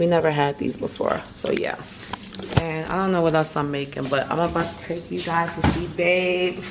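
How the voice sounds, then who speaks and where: Speaking at a moderate pace with monotone, flat intonation, a woman with a fairly low pitch is heard over noticeable background noise. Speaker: vlogger. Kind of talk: casual vlog chat. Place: kitchen. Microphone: phone near.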